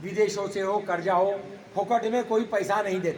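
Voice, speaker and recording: Intonation stays fairly even, with noticeable background noise behind the voice. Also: man. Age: 70s. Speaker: retired senior government official. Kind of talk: public talk at a meeting.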